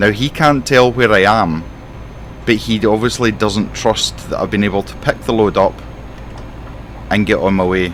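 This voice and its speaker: Speaking in a Scottish accent, a man keeps a moderate pace with ordinary pitch variation and long, frequent pauses. There is noticeable background noise. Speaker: gaming streamer. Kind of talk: roleplay commentary while playing a truck simulator. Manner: animated.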